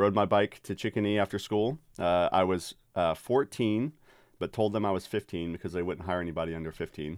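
Recorded very cleanly against a silent background, a man with an American accent talks at a fairly quick pace in an ordinary speaking voice, fairly low in pitch with ordinary pitch variation. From Texas, Dallas-Fort Worth. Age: 30s. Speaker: podcast host, theologian. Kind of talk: casual chat.

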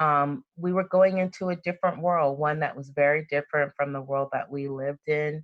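A woman with an American accent speaks at a very deep, low pitch with fairly even intonation. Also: fairly quick pace, hardly any pauses. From US South (Birmingham, Alabama) and Compton, California. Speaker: employment lawyer and mediator. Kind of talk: interview.

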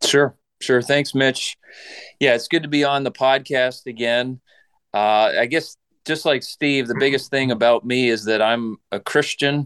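A man speaks at a fairly slow pace and a medium pitch, with ordinary pitch variation. His tone is clear, smooth and fairly bright.

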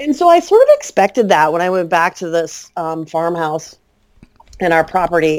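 A plain, everyday voice with an American accent, lively intonation and a moderate pace. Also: woman. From US Midwest, Central Illinois. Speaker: author and early childhood educator. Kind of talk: casual interview.

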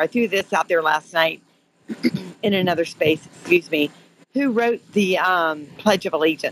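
An unremarkable speaking voice with an American accent moves at a moderate pace with ordinary pitch variation, in a dry, close sound with no echo. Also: woman. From Florida. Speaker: caller. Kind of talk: live call-in discussion. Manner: earnest, emotional.

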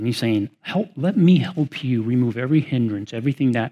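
A man with an American accent speaks at medium pitch in a dark, mellow tone. His pitch varies in an ordinary way, and the background is quiet. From Chicago, then Texas. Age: 50s. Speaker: stewardship pastor. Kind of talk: talk to a live audience. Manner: gentle.

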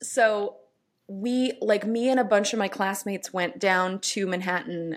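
A woman's ordinary speaking voice, medium in pitch, with lively intonation and an American accent, on a very clean recording with a silent background. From New York City. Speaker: actor and improviser. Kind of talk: casual chat.

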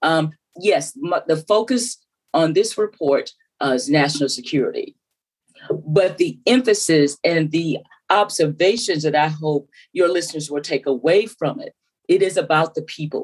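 With a Southern US accent, a woman talks at a moderate pace in a fairly low pitch. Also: lively intonation. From US South, South Carolina. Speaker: former telecom regulator and AI commissioner. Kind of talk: interview.

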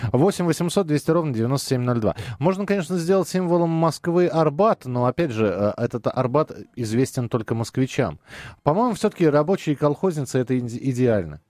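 Lively intonation marks a man speaking at a moderate pace in a dry, close sound with no echo. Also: very even loudness. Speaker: radio host. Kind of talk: casual chat. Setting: studio.

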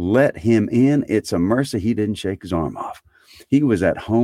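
The reading is done in a natural reading voice. That is the whole of it.

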